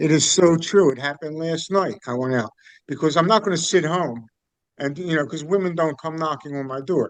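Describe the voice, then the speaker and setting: Speaking at a fairly quick pace in a normal speaking voice, a man uses ordinary pitch variation at a fairly high pitch. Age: 60s. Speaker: group participant. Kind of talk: group discussion.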